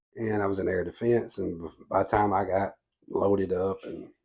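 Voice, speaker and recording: Against a quiet background, a man speaks at a moderate pace in a fairly low pitch with a dark, mellow tone. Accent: Southern US. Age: 60s. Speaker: political candidate. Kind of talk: interview. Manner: halting.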